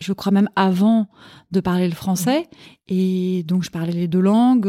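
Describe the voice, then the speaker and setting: This is a woman with a normal speaking voice at medium pitch and with fairly even intonation. The recording is very clean, the background silent. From Paris, France. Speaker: food journalist and columnist. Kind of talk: casual interview chat.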